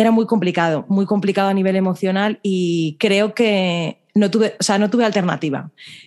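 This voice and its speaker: A woman's medium-pitched voice in a Spanish accent, at a moderate pace with hardly any pauses, very even loudness and fairly even intonation, over a quiet background. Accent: Spanish (Spain) Spanish. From Spain. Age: 30s. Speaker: dietitian and social media creator. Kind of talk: interview. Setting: video call.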